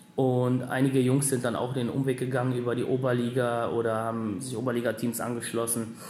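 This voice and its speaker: Amid noticeable background noise and audible room echo, a man at medium pitch talks at a fairly quick pace in a flat monotone with hardly any pauses. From Germany, Lower Rhine (Wesel). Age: 30s. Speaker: ice hockey sports director. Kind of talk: interview. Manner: halting.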